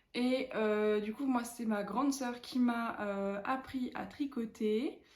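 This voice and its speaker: In a room with audible echo, a woman with a fairly high pitch speaks very slowly, somewhat breathily, with fairly even intonation. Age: 20s. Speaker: knitting vlogger. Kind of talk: casual chat. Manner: hesitant, many fillers.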